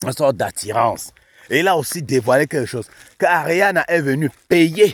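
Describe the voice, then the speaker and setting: A man's fairly high, animated voice with very wide pitch swings and vocal fry, at a moderate pace, in a dry, close sound with no echo. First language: not French (African native language) (speaking French). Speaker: YouTube commentator. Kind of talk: casual commentary.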